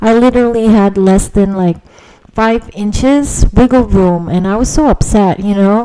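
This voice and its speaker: Noticeable background noise sits behind a woman with a Filipino accent. She speaks at medium pitch and a fairly slow pace. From Philippines. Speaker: podcaster. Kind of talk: casual monologue. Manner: hesitant, many fillers.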